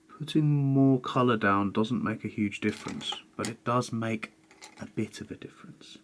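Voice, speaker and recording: The speech comes at a moderate pace. Noticeable background noise can be heard. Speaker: art tutorial youtuber. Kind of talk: tutorial. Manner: casual, thinking aloud.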